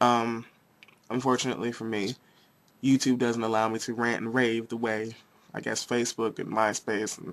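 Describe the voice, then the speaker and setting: A man speaks with an American accent at a medium pitch. His intonation is flat and monotone, with long, frequent pauses. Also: moderate pace. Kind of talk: rant to camera. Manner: impassioned, argumentative.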